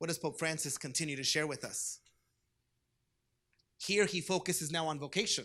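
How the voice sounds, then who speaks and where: Fairly quick, fairly high-pitched speech from a man, bright and sharp in tone with fairly even intonation and long, frequent pauses, on a very clean recording with a silent background. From US, Southern California (Orange County), Mexican-American family. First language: Spanish. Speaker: diocesan youth ministry director. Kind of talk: conference presentation. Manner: conversational, engaging.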